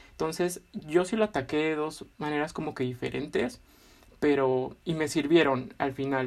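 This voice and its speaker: A man with a normal speaking voice, fairly high in pitch, at a fairly slow pace with ordinary pitch variation. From Villahermosa, Tabasco, Mexico. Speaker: geology master's student. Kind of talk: casual panel chat.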